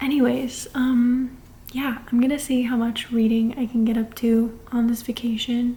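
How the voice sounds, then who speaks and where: A soft-spoken woman, fairly high in pitch, with monotone, flat intonation over noticeable background noise. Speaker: book vlogger. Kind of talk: casual vlog. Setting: at her grandparents' house. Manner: quiet, soft-spoken.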